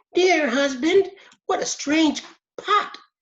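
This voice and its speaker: A woman puts on a squeaky character voice, pitched extremely high, with lively intonation. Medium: read story.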